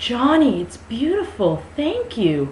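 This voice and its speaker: Clear background noise sits under a put-on character voice. The pace is fairly slow. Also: female-sounding voice. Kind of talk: comic overacting. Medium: read story.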